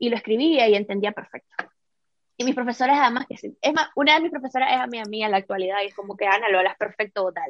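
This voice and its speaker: Dry and close with no echo, a woman's fairly high voice moves at a very fast pace with ordinary pitch variation. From Nicaragua. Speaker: entrepreneur and former TV host. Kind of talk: interview.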